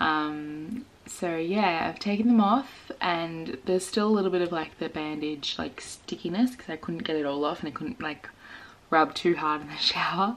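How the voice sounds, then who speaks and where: A woman with an Australian accent speaks quietly at a fairly low pitch. Her intonation is lively and her pace moderate. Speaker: vlogger. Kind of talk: casual vlog.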